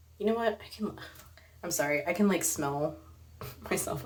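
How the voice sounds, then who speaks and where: Her voice shows ordinary pitch variation. The woman is heard with audible room echo. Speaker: artist and roller derby vlogger. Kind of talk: vlog monologue. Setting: bathroom at night. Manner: hesitant, many fillers; soft-spoken, low. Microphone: too quiet, barely audible.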